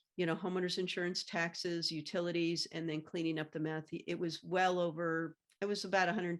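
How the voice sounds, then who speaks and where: A woman talks in a fairly low, flat monotone. The recording is very clean, with a silent background. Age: 60s. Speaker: former banking executive and meth contamination awareness advocate. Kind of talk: interview. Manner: halting, many fillers.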